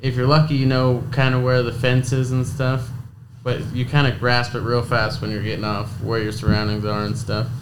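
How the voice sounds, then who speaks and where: A man's medium-pitched, monotone, flat delivery in an American accent at a moderate pace, with audible room echo and noticeable background noise. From Idaho. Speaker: college rodeo athlete, bull rider. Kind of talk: casual interview.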